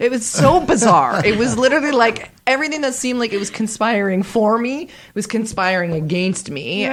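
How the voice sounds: Over noticeable background noise, a woman speaks fairly quickly with hardly any pauses. Her fairly high voice swings very widely in pitch. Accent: Canadian.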